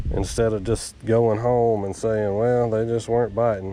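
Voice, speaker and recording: There is noticeable background noise behind this man with a Southern US accent. He talks at a medium pitch and a moderate pace. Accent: US South. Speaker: fishing channel host. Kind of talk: outdoor fishing vlog commentary. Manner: casual, excited; quiet, hushed.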